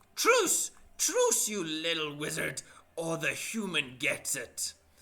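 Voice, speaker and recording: The pace here is fairly slow. It is a put-on character voice pitched in the middle range. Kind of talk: speaking in the common tongue. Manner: threatening.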